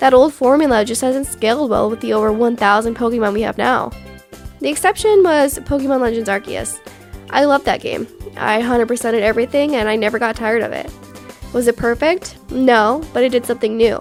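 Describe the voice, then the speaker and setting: Over music in the background, a woman speaks at a fairly quick pace with a fairly high pitch. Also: ordinary pitch variation. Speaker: gaming commentator. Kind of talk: casual opinion commentary.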